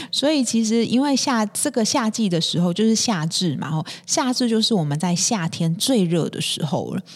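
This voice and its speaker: A woman speaks at a moderate pace in a fairly high voice. Her pitch swings very widely. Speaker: podcast host. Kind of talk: health tips talk. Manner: many fillers and hesitations.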